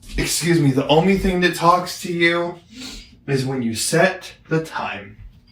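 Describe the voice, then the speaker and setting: Amid noticeable background noise, a man talks loud and fairly slow, his pitch high. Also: ordinary pitch variation. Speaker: product reviewer, visually impaired. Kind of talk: casual product review. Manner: loud, projecting voice.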